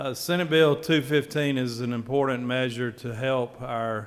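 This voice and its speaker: A man with a Southern US accent speaks fairly slowly at a medium pitch with fairly even intonation, over noticeable background noise. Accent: Southern drawl. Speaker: state senator. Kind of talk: legislative floor speech. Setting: legislative chamber.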